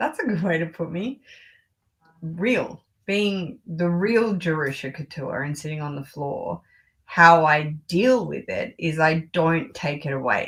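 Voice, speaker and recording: In an Australian accent, a woman with a fairly low pitch talks fairly slowly, her intonation lively and her loudness swinging widely. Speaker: luxury fashion YouTuber. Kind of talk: casual chat.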